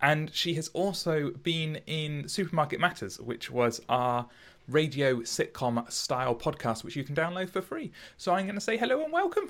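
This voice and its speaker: At a moderate pace, a man with a fairly high pitch has an unremarkable speaking voice. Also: lively intonation. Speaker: podcast host. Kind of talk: informal conversational. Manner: casual, chatty.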